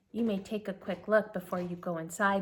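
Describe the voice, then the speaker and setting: Using a put-on character voice, a woman talks at a fairly quick pace. Her pitch sits in the medium range and her intonation is monotone and flat. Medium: read story. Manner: brisk.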